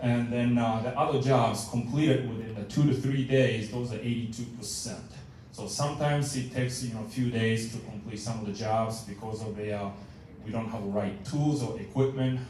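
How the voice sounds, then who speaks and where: There is noticeable background noise and audible room echo. Through it, a man speaks at a fairly quick pace with fairly even intonation. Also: medium pitch for a man. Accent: Japanese. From Japan. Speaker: maintenance manager. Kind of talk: meeting report. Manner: halting, many fillers.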